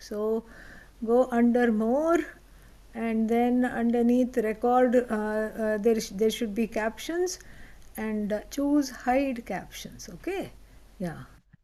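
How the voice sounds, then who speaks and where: Here a woman speaks with an Indian accent at a fairly slow pace. Her pitch is high. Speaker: spiritual teacher. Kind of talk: lecture. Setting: online class with live audience.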